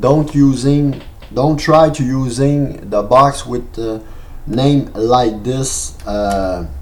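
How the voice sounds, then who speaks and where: A very slow delivery in a Quebec accent, with noticeable background noise and audible room echo. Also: man. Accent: French Canadian accent in English. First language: French. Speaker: software tutorial maker. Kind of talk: tutorial. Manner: halting, many fillers.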